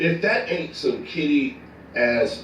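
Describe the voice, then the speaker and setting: A man speaks in an animated tone at a fairly slow pace, with noticeable background noise and audible room echo. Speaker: online commentator. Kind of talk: casual chat. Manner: loud.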